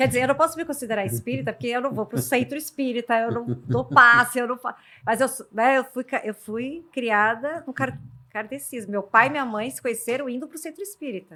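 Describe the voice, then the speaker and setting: At a fairly quick pace, a woman with a high pitch and a bright, sharp tone speaks with ordinary pitch variation and big swings in loudness, in a very clean recording with a silent background. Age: 50s. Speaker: podcast host. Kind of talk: casual interview chat.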